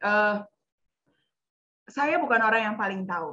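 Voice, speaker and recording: Fairly slow speech in a bright, sharp tone with ordinary pitch variation. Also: woman. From East Java, Indonesia (Nganjuk). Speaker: psychologist. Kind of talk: webinar talk. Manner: code-switching Indonesian and English.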